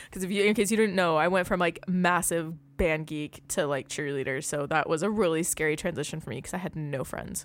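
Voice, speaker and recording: The woman has a plain, everyday voice, fairly low in pitch. She speaks at a fairly quick pace. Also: very clean recording, silent background. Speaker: podcast host. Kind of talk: casual chat. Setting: home studio. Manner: fast talker.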